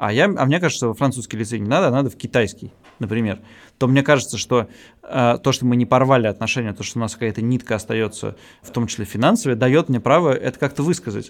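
On a very clean recording with a silent background, a man of medium pitch speaks at a very fast pace with ordinary pitch variation and big swings in loudness. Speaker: podcast co-host. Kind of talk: casual chat. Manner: halting, many fillers.

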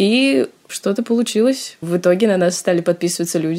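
An unremarkable speaking voice from a woman, pitched in the middle, with ordinary pitch movement and a moderate tempo. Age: young. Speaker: student, meme page admin. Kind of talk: casual chat.

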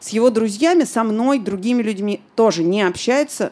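This woman's pitch is fairly high, and her pace is moderate. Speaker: podcast host. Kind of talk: live podcast recording answering listener questions. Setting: bar with live audience.

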